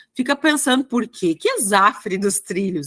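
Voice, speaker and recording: A woman with a strong gaúcho accent speaks at a moderate pace, her fairly high pitch moving with lively intonation. Her tone is bright and sharp, and the sound is dry and close with no echo. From Rio Grande do Sul, Brazil (Passo Fundo). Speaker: exam prep teacher. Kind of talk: online lecture. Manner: casual, hesitant.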